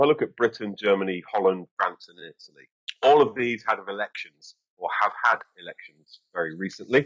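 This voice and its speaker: A man with an English accent talks at a fairly quick pace in a fairly low pitch, with ordinary pitch variation. The sound is dry and close with no echo. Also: big swings in loudness. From England. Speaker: strategic communications expert, former army officer. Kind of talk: interview. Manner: hesitant, many fillers.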